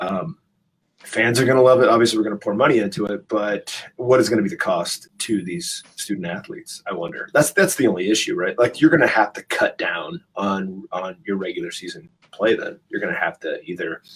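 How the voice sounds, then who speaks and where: His loudness rises and falls in big swings. The man speaks at a fairly quick pace. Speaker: podcast co-host, professor. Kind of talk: casual chat. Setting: near a classroom.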